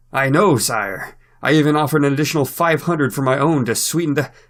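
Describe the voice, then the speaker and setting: A man's put-on character voice, fairly high in pitch, at a very fast pace. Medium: read story. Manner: meek, mumbling.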